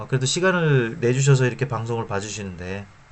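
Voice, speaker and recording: A man's voice with audible room echo. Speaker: finance YouTuber. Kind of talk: informal lecture to camera. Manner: hesitant, many fillers.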